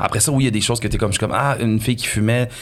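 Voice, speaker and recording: Noticeable background noise sits behind this man's voice. He speaks at a very fast pace with fairly even intonation. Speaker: comedian. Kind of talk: casual chat.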